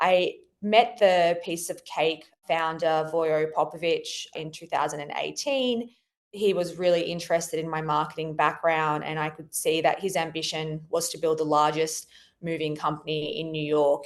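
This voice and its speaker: A woman with an Australian accent speaks at a moderate pace with fairly even intonation. Her pitch is very deep and low. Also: big swings in loudness. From Australia, Sydney. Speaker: marketing executive. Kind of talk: podcast interview.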